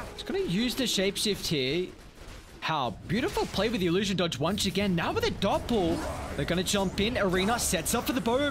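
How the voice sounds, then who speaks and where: A man speaks at a moderate pace, his pitch swinging very widely. Noticeable background noise sits behind him. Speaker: esports caster. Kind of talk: live esports commentary.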